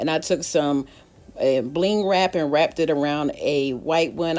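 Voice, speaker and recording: A woman's fairly low voice at a moderate pace, an ordinary speaking voice with lively intonation. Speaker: DIY decor YouTuber. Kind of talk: casual tutorial walkthrough.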